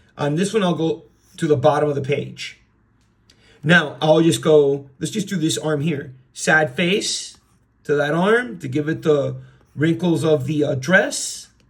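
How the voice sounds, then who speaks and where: With a plain, everyday voice, a man speaks at a fairly slow pace in a fairly high pitch with ordinary pitch variation. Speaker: art teacher. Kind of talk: drawing tutorial.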